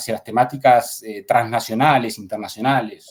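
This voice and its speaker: A man with an Argentine accent speaks in a medium pitch with fairly even intonation. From Argentina, Buenos Aires province. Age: 40s. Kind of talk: interview. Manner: halting, many fillers and repetitions.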